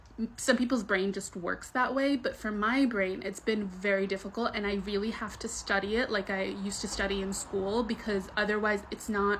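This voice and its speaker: At a moderate pace and a medium pitch, a woman speaks with fairly even intonation and hardly any pauses. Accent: American. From US, New York area; Egyptian-born, Arabic-speaking home. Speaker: vlogger. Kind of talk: casual monologue. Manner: casual, conversational with fillers.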